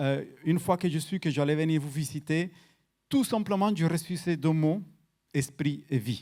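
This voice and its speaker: Captured in a very clean recording with a silent background, a man speaks at a fairly slow pace with ordinary pitch variation. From Colombia, Cali. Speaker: guest preacher. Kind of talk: sermon. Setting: church. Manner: halting, repeats words.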